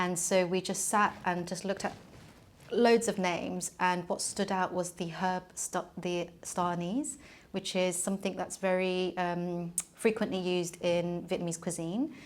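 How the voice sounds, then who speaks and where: A woman with a London accent, medium in pitch, fairly even in intonation and fairly slow, on a very clean recording with a silent background. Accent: British English, London. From England. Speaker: film producer and festival director. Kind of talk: interview. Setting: office. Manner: hesitant, many fillers.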